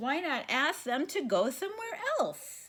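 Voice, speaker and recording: Here is a put-on character voice with a cheerful tone. Its pitch swings very wide at a moderate pace. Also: woman. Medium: read story. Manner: easygoing, cheerful.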